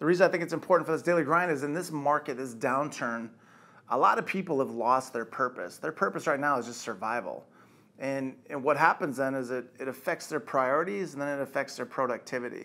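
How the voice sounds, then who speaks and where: Bright, sharp tone marks this man's voice. He talks at a fairly quick pace with ordinary pitch variation. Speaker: company executive giving motivational talk. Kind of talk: motivational monologue. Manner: casual, direct. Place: office.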